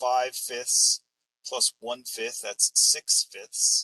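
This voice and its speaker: The sound is dry and close, with no echo. It is a man talking. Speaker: math teacher. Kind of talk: lecture. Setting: online class from a van.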